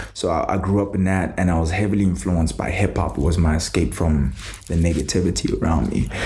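Over noticeable background noise, a man with a very deep, low voice talks at a fairly quick pace, with very even loudness and ordinary pitch variation. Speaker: plant-based advocate and entrepreneur. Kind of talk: casual podcast interview. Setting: studio.

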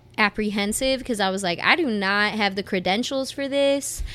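With a Detroit accent, a woman talks at a moderate pace in a fairly high voice with a bright, sharp tone. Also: very clean recording, silent background. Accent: Detroit American English. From Southwest Detroit, Michigan. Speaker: singer. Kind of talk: casual interview.

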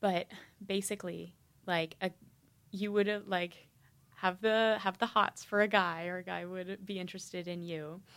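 A woman speaks at a moderate pace with a medium pitch and monotone, flat intonation. Long, frequent pauses break up the very clean recording over a silent background. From Nashville, Tennessee. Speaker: podcast host, university student. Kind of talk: casual interview; scripted intro.

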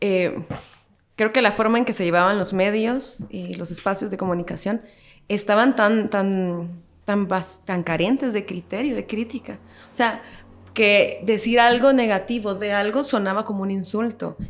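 Speaking at a fairly slow pace, a woman uses a plain, everyday voice with a medium pitch and fairly even intonation. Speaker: historian and social media creator. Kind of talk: casual chat.

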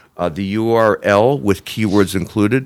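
In a very clean recording with a silent background, a man with a normal speaking voice talks at a moderate pace, fairly low in pitch with fairly even intonation. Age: 60s. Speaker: SEO agency CEO. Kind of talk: interview.

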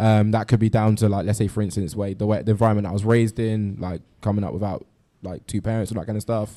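With a London accent, a man speaks very fast at a fairly low pitch, his tone dark and mellow and his intonation monotone and flat. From London, Ghanaian family. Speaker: listening party participant. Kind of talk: group discussion. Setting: live event with sound system.

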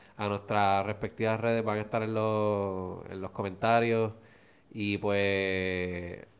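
Speaking very slowly, a man keeps a flat monotone at a fairly low pitch. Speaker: podcast co-host. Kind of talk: casual chat.

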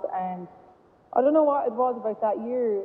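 At a moderate pace, a woman with a western Irish accent speaks with ordinary pitch variation. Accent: Irish (west of Ireland). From Ireland, Galway. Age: 30s. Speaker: camogie manager and former goalkeeper. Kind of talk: casual interview chat. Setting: phone call.

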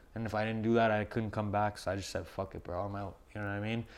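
A man speaks in an animated tone at a fairly low pitch. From Montreal, Canada (Verdun). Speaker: film photographer and clothing brand owner. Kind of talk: casual chat.

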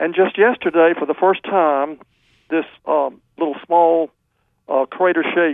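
A high-pitched man at a fairly slow pace. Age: 80s+. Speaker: caller. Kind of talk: casual chat.

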